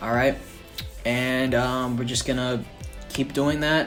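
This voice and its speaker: Music plays in the background as a man talks at a medium pitch with fairly even intonation. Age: 19. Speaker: son of the channel owner doing the voiceover. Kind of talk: comedic makeup tutorial voiceover. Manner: deadpan, sarcastic, joking.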